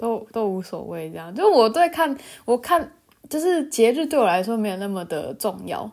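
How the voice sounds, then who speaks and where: Heard in a very clean recording with a silent background, a woman speaks at a moderate pace in a relaxed tone. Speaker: solo podcast host. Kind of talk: casual monologue. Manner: frequent laughter, relaxed; hesitant, many fillers.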